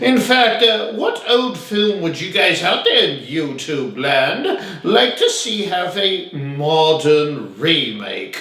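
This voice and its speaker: A man does a put-on character voice at a high pitch. He goes at a very slow pace, with a slight echo. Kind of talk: campy horror host. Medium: solo performance. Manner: chatty, rambling, punctuated by gleeful chuckles.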